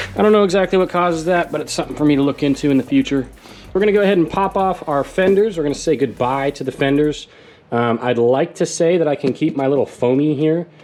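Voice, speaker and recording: A man's fairly high voice at a very fast pace, with ordinary pitch variation and noticeable background noise. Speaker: DIY truck modification youtuber. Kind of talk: tutorial. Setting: outdoors. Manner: animated.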